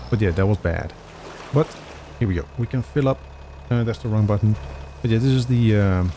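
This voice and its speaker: A man's fairly low voice with lively intonation, a fairly quick pace, long and frequent pauses, and noticeable background noise. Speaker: gaming video creator. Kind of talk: let's play commentary.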